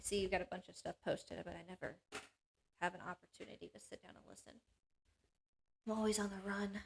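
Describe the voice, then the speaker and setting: A woman's very fast speech with long, frequent pauses and big swings in loudness. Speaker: panel show host. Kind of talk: reading aloud. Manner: halting.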